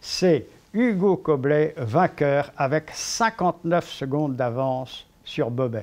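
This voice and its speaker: A man speaks very slowly, his intonation lively. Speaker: sports commentator, cycling. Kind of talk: storytelling, historical anecdote narration.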